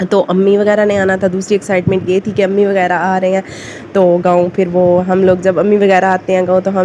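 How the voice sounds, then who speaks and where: A woman's intonation is monotone and flat, with noticeable background noise around her. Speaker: village family vlogger. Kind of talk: casual vlog talk. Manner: rambling, many fillers.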